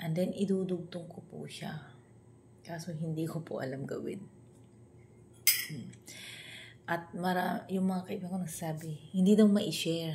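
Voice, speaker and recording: Quietly and at a moderate pace, a woman with a fairly low voice and fairly even intonation speaks in a room with audible echo. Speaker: vlogger. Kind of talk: casual vlog talk. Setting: at home, early morning. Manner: quiet, hushed.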